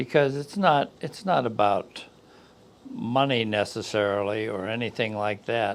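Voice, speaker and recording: A man with an unremarkable speaking voice talks at a fairly slow pace, medium pitch, and lively intonation. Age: 60s. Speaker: business consultant. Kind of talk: podcast interview.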